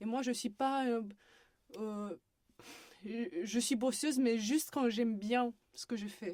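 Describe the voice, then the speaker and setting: At a fairly slow pace, a woman speaks in a dark, mellow tone with a fairly high pitch and fairly even intonation. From Romania, Bucharest. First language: Romanian (speaking French). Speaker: university student. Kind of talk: podcast interview. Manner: hesitant.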